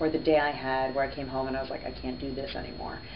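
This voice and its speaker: A woman with a slight New Jersey accent speaks amid noticeable background noise and audible room echo. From New Jersey, US. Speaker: radio host. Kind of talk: interview.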